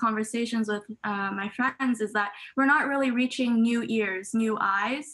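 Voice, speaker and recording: A plain, everyday voice from a woman, fairly high-pitched, at a moderate pace with fairly even intonation. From Canada. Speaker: student. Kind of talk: casual chat. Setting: video call. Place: home room. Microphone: video call.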